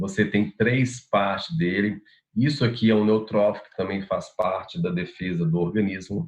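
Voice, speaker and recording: This is an ordinary speaking voice at a moderate pace, with ordinary pitch variation and big swings in loudness. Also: man, fairly low pitch for a man. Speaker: university lecturer. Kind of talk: lecture.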